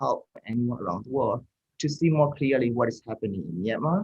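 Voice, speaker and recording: A man with a Burmese accent talks at a medium pitch, his voice somewhat breathy. The sound is dry and close, with no echo. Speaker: mental health helpline founder. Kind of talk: interview. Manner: halting.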